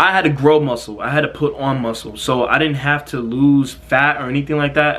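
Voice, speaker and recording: There is noticeable background noise. A man speaks with fairly even intonation. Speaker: fitness content creator. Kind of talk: casual Q&A vlog. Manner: halting, stuttering.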